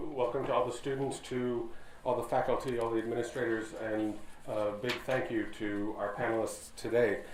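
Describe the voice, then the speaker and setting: Room echo can be heard clearly. The man keeps to a moderate pace. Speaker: professor and panel moderator. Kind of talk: panel moderation. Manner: loud. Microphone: unsure if audible without microphone.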